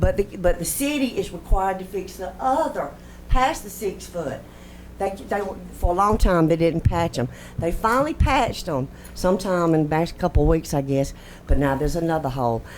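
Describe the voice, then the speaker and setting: Audible room echo carries a fairly quick voice with a Southern US accent and very wide pitch swings. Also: woman, fairly low pitch for a woman. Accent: Southern US (Georgia). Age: 60s. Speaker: resident speaking at public comment. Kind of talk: public comment at council meeting. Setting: city council chamber. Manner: animated.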